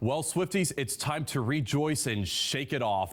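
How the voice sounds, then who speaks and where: His pitch swings very widely. The man's voice also shows vocal fry. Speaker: TV reporter and anchor. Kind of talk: TV news reporting and anchoring. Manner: live-shot stand-up delivery, clear and energetic.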